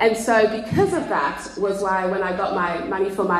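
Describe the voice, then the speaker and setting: Speaking with an Australian accent, a woman uses a medium pitch with ordinary pitch variation. Noticeable background noise can be heard. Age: 30s. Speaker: pastor. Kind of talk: casual chat. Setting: stage with audience.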